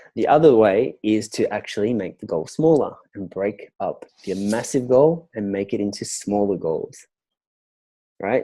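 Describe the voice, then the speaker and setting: In an Australian accent, the voice moves at a fairly slow pace with a dark, mellow tone. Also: man, fairly low pitch for a man, ordinary pitch variation. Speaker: business and relationship coach. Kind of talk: interview answer.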